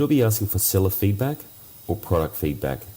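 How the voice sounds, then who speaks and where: Amid noticeable background noise, a man with an Australian accent talks at a fairly quick pace with lively intonation. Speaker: listener, online seller. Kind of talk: recorded voicemail question.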